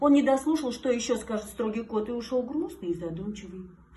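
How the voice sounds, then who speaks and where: Her high voice moves through very wide pitch swings as this woman speaks. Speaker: singer and TV presenter. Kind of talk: children's fairy tale reading.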